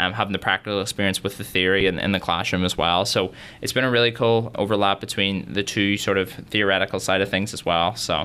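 Speaking very fast with a Northern Irish accent, this man has a bright, sharp tone and a fairly low pitch. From Northern Ireland, Derry. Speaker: university student. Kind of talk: interview.

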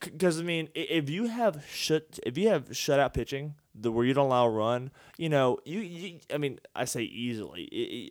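On a very clean recording with a silent background, a man with a Texas accent speaks at a moderate pace, his pitch fairly high and his intonation lively. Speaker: sports podcast host. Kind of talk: casual chat. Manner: halting, repeats words.

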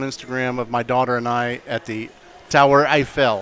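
At a moderate pace, a man with an American accent uses a normal speaking voice, medium in pitch, with fairly even intonation. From St. Augustine, Florida. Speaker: media business owner. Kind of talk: casual chat. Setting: restaurant bar recording.

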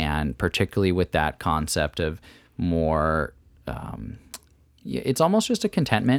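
A man speaks at a fairly slow pace in a very deep, low pitch with vocal fry and very wide pitch swings, recorded with a dry, close sound and no echo. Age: 20s. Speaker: CEO of a CBD company. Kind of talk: casual interview chat.

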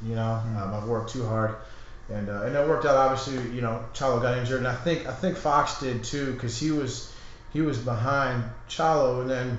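Through noticeable background noise and audible room echo, a man talks at a fairly quick pace in a medium pitch. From Texas. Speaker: gym owner and fitness trainer. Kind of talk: casual chat. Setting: studio.

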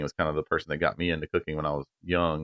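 Monotone and flat, a bright, sharp voice with a North Carolina accent comes through a dry, close sound with no echo and a quiet background. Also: man. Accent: North Carolina Southern US. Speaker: barbecue restaurant owner. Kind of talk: casual interview.

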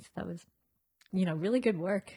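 Somewhat breathy, a woman is heard in a dry, close sound with no echo on a very clean recording with a silent background. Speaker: podcast host and interviewer. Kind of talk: casual chat. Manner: playful, laughing.

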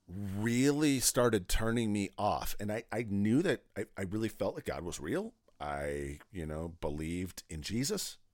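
This man talks at a fairly slow pace with an American accent. His pitch swings very widely, and the recording is very clean with a silent background. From US Midwest, south central Wisconsin. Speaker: men's ministry network co-founder. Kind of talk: interview conversation.

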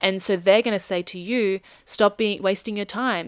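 A woman at a moderate pace, on a very clean recording with a silent background. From South Africa. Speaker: podcast host. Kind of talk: solo podcast monologue.

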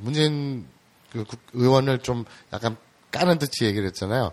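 Pitch varies in an ordinary way as the speech unfolds at a moderate pace. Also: man. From Seoul, South Korea. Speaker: podcast interviewer. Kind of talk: interview.

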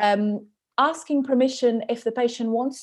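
Against a quiet background, a woman speaks with a Portuguese accent. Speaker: podcast host and dietitian. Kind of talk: interview conversation. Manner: halting.

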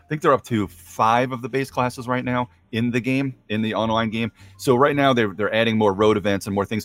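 A man speaks with an unremarkable speaking voice at a medium pitch and a fairly quick pace. His intonation stays fairly even, and the sound is dry and close with no echo. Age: middle-aged. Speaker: board game reviewer. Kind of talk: casual chat.

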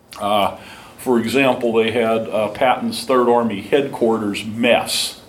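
Speaking at a medium pitch, a man is heard with noticeable background noise. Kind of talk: lecture. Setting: talk to a live audience.

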